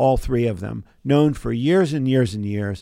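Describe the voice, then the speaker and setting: A man with an American accent has a plain, everyday voice, speaking at a moderate pace and medium pitch with ordinary pitch variation. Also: very clean recording, silent background. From US, southern New Jersey. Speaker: chemist and biotech entrepreneur. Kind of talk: interview. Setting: studio.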